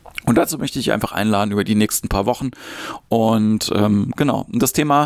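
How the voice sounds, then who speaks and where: The speaker has a normal speaking voice. Pitch moves up and down in an ordinary way. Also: man. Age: 40s. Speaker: podcast host, improv actor and comedian. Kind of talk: solo podcast monologue on mindfulness. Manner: casual, with filler sounds.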